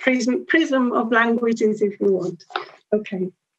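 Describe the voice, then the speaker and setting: A woman's fairly high voice with a Swiss German accent at a moderate pace. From Switzerland. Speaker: language education academic. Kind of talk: conference talk. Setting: conference session with audience. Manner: hesitant, with frequent fillers.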